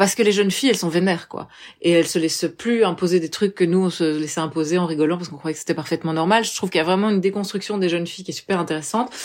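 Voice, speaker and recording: A woman speaks with a fairly low pitch and ordinary pitch variation. The recording is very clean, with a silent background. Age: 30s. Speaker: journalist and filmmaker. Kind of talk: interview.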